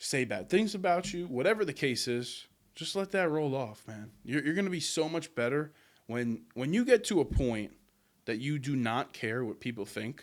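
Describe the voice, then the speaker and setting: Loud and animated, a man with a fairly high voice speaks at a moderate pace with very wide pitch swings in a very clean recording with a silent background. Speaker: podcast host. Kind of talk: motivational monologue.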